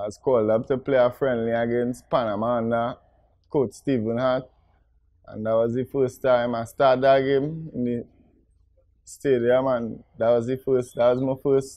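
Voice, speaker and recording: Over a quiet background, a man talks at a moderate pace in a monotone, flat intonation, the sound dry with no echo. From Trinidad and Tobago. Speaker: professional footballer; guest. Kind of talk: player profile interview. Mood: relaxed, reminiscing. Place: studio. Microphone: lapel.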